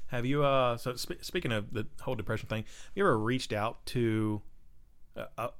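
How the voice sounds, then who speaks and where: Speaking at a fairly quick pace, a man uses a plain, everyday voice at a medium pitch. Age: 30s. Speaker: amateur race car driver. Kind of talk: casual chat.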